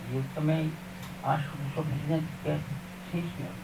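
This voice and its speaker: Over noticeable background noise and audible room echo, a man talks at a moderate pace with a fairly high pitch and fairly even intonation. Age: 70s. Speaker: local resident. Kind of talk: vox pop interview. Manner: halting, repetitive.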